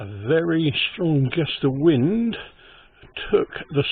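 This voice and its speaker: A man with a fairly high pitch speaks at a very slow pace. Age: 70s. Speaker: van dweller vlogger. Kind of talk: casual video tutorial. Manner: halting, rambling delivery.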